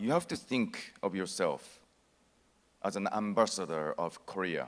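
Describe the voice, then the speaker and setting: With a Japanese accent, a man speaks at a very slow pace. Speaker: actor. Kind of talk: conference speech.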